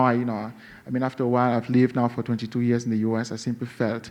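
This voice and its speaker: This speaker has a Cameroonian accent. The pace is very fast. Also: man. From western Cameroon. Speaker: novelist. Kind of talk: interview. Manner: halting, many fillers.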